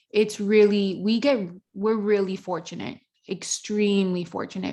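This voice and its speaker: An ordinary speaking voice at a moderate pace against a quiet background. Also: woman. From Miami, Florida (born in Dominican Republic). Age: 30s. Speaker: reality TV contestant and yoga instructor. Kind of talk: casual interview chat.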